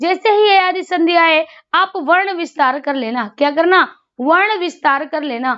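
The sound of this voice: A woman with an extremely high pitch and a fairly bright tone speaks at a fairly slow pace with ordinary pitch variation.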